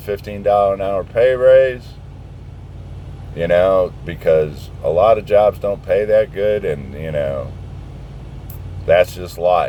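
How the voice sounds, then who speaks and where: A man speaks at a fairly slow pace with an American accent, leaving long, frequent pauses. Noticeable background noise runs underneath. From southern Indiana, US. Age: 60s. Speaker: truck driver vlogger. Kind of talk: casual rant. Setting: outdoors, parked truck. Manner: animated.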